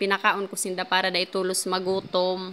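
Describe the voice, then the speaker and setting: A woman talks at a fairly quick pace with a bright, sharp tone at a medium pitch. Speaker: vlogger. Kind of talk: vlog voice-over. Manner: halting, occasional stammering.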